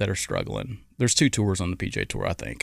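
Recorded very cleanly with a silent background, a man talks at a moderate pace with ordinary pitch variation. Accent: Arkansas. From Arkansas, Little Rock area. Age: 50s. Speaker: former pro golfer. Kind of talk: interview.

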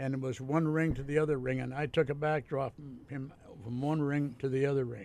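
A man with a normal speaking voice, fairly high in pitch, at a fairly quick pace and with fairly even intonation. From Ontario, Canada. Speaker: retired pro wrestler. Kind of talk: casual interview.

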